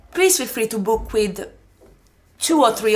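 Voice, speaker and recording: With an Italian accent, a woman talks at a fairly quick pace with ordinary pitch variation. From Italy. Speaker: osteopath, former ballet dancer. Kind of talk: podcast interview. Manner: halting, with many false starts.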